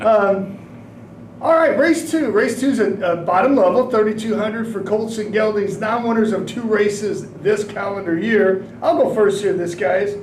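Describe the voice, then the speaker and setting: A loud man at a high pitch with ordinary variation and a moderate pace, with audible room echo and noticeable background noise. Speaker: horse racing handicapper. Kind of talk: podcast discussion, race picks. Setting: livestream from track building.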